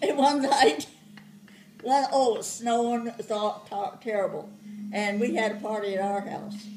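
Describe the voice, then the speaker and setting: Over noticeable background noise, a woman with a fairly high pitch talks at a moderate pace, her loudness swinging widely while her pitch varies in an ordinary way. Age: 80s+. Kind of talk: family storytelling, reminiscing.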